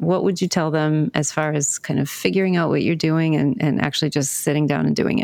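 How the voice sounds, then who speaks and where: The speech moves at a fairly quick pace with hardly any pauses, very even loudness and ordinary pitch variation, over noticeable background noise. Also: woman, very deep, low pitch for a woman. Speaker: podcast host and mystery author. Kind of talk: interview podcast.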